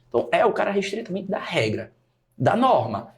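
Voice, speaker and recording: Somewhat breathy male voice with very wide pitch swings. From Brazil, Natal (Rio Grande do Norte). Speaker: teacher and study mentor. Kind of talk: podcast interview.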